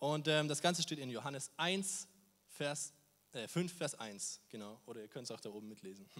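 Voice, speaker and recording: At a moderate pace, a man with a fairly high voice talks with lively intonation. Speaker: volunteer youth preacher. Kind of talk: sermon. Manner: animated.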